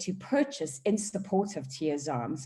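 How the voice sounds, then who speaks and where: A woman with a South African accent speaks at a fairly slow pace and medium pitch, her tone dark, mellow and somewhat breathy. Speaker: charity board member and auctioneer. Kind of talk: charity auction presentation. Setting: video call. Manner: animated.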